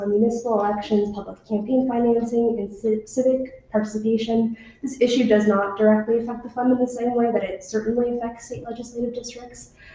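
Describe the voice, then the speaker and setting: Over noticeable background noise, a woman talks at a fairly quick pace and a fairly high pitch, with ordinary pitch variation. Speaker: intern, public commenter. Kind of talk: public testimony read from notes. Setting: public committee hearing. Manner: reading verbatim.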